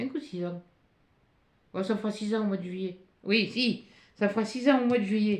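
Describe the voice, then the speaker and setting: A woman's somewhat breathy, fairly high voice at a moderate pace, with long, frequent pauses. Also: ordinary pitch variation. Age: 60s. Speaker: youtuber reading mail. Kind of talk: casual chat. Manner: halting.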